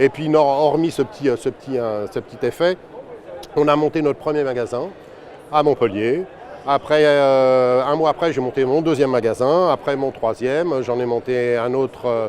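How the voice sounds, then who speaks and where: Over noticeable background noise, a man talks at a moderate pace in a fairly high pitch with ordinary pitch variation. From northern France, Seine-et-Marne (Melun). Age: 60s. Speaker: franchise owner, shopkeeper. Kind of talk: interview testimony. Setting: trade fair. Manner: hesitant, many fillers and repetitions.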